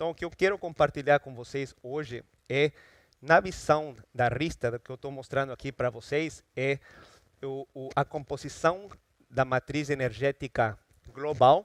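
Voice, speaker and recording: Speaking at a fairly slow pace with a strong Ecuadorian accent, a man with a fairly high pitch shows big swings in loudness in a dry, close sound with no echo. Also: ordinary pitch variation. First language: Spanish (speaking Portuguese). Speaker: energy research consultant. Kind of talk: conference talk. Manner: halting, with fillers and repetitions.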